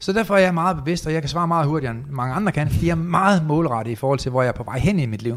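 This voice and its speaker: With a fairly high pitch, a man talks using lively intonation. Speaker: entrepreneur and motivational speaker. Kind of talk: interview.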